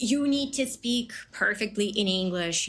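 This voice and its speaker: Over music in the background, a woman talks at a very slow pace with ordinary pitch variation. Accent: Ukrainian. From Ukraine. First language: Ukrainian. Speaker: English teacher. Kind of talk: casual chat.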